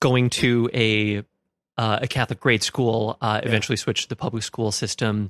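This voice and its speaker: A man with an American accent and a plain, everyday voice speaks at a medium pitch and a moderate pace with fairly even intonation, in a very clean, dry, close recording with no echo and a silent background. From Minnesota, US Midwest. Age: 30s. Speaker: religious studies graduate. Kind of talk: casual interview.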